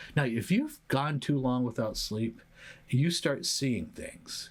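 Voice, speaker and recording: Somewhat breathy man's voice of medium pitch with lively intonation, on a very clean recording with a silent background. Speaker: psychologist and podcast host. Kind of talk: solo educational talk. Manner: hesitant with fillers.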